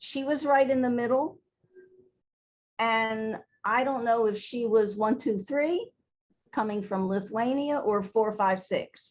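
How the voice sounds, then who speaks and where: With a Baltimore accent, a woman of fairly high pitch and ordinary pitch variation speaks at a very slow pace with long, frequent pauses against a quiet background. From Baltimore, Maryland, US. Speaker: theater costume designer. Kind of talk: interview conversation.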